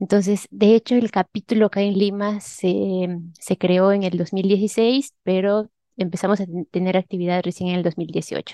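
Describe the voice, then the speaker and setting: A woman uses an unremarkable speaking voice at medium pitch, talking at a fairly slow pace with fairly even intonation. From Peru, Huánuco (central highlands). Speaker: head of an advanced analytics team. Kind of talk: interview.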